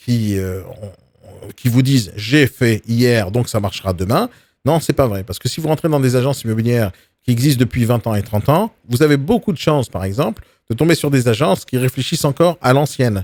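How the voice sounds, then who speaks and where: The recording is very clean, with a silent background and a dry, close sound with no echo. A medium-pitched man speaks with lively intonation. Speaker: real estate coach. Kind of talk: live video training talk. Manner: fast; aggressive, forceful delivery.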